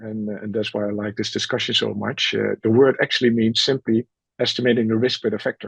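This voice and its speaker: With a dry, close sound and no echo, a man talks at a fairly quick pace in a medium pitch with fairly even intonation. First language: not English. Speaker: methods expert, panelist. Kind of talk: webinar Q&A. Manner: halting, frequent fillers.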